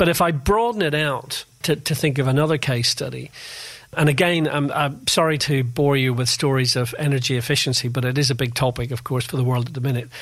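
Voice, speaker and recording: The speaker has a Northern Irish accent and a somewhat breathy voice. The pace is fairly quick. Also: man, fairly high pitch for a man, ordinary pitch variation. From Northern Ireland, Belfast. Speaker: Formula One industry analyst and author. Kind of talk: interview.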